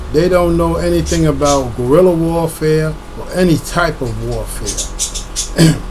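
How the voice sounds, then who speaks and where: A man is speaking with audible room echo. Noticeable background noise is present. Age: 60s. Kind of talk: casual monologue. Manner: halting, repeats words.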